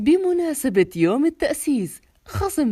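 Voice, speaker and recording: A woman's dark, mellow voice in a Gulf accent, with very wide pitch swings. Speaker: voice-over artist. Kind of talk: TV commercial read.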